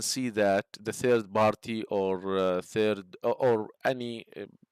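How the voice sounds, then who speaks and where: On a very clean recording with a silent background, a man with a non-native accent speaks at a medium pitch with fairly even intonation, the sound dry and close with no echo. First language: not English. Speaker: structural engineering instructor. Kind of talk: tutorial. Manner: halting, many fillers.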